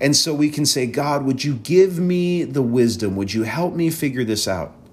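A man talks at a moderate pace with lively intonation and a medium pitch. He has an ordinary speaking voice. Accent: American. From Wisconsin. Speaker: pastor and podcast host. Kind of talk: solo podcast talk with teaching. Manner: conversational with many fillers.

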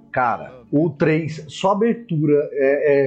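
There is a man speaking with fairly high pitch and ordinary pitch variation. His voice is somewhat breathy. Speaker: podcast co-host. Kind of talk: casual chat.

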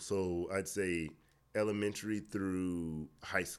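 In a very clean recording with a silent background, a man speaks at a very slow pace with an American accent. His pitch is very deep and low, with ordinary pitch variation. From Miami, Florida. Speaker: fitness trainer. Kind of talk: casual interview.

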